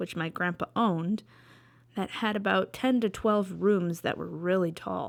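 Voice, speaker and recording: At a moderate pace and a medium pitch, a woman talks in a plain, everyday voice with ordinary pitch variation, on a very clean recording with a silent background. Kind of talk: storytelling to camera. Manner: casual.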